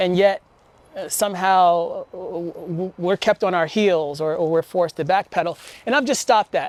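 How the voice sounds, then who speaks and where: In a very clean recording with a silent background, a man with a high pitch talks at a moderate pace with ordinary pitch variation and long, frequent pauses. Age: 50s. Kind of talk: personal reflective vlog. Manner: reflective, steady.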